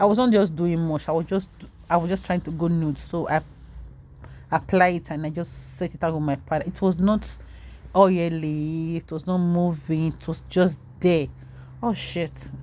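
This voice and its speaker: In a very clean recording with a silent background, a woman with a non-native accent speaks at a moderate pace, her fairly low pitch and dark, mellow tone paired with fairly even intonation. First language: not English. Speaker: makeup vlogger. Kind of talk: tutorial.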